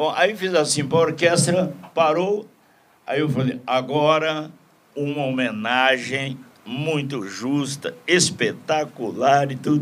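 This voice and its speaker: At a very slow pace, a man with a fairly high pitch speaks with ordinary pitch variation. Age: old. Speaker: TV presenter. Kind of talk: casual chat.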